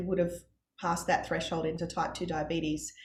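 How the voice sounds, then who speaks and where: A somewhat breathy woman with an Australian accent speaks at a medium pitch, with audible room echo. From Australia, Brisbane. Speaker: parent of child with type 1 diabetes. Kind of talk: interview testimony.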